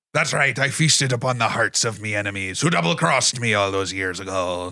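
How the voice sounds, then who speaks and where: On a very clean recording with a silent background, a man does a put-on character voice at a fairly low pitch and a fairly quick pace. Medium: actual play.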